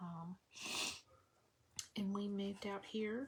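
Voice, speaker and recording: A woman speaks with an American accent in a somewhat breathy voice. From US South, Vicksburg, Mississippi. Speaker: crafter hosting a livestream. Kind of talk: casual livestream chat while crafting. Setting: live video stream. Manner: chatty, many fillers.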